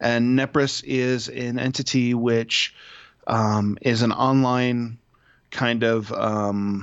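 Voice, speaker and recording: This man speaks with an Ohio accent at a medium pitch. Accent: Midwestern American (Ohio). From Toledo, Ohio. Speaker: father and podcaster. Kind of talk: casual chat.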